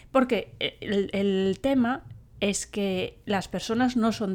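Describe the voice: A woman speaks at a medium pitch with ordinary pitch variation. Her tone is slightly mellow and nasal.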